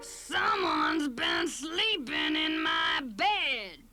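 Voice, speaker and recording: In a put-on character voice, the speaker growls at a very slow pace. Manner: growling.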